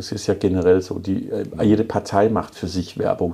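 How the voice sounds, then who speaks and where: Speaking with a Danish accent, a man talks at a moderate pace in a very deep, low pitch and monotone, flat intonation, with noticeable background noise. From Denmark. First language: Danish (speaking German). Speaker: city mayor and furniture entrepreneur. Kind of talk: podcast interview.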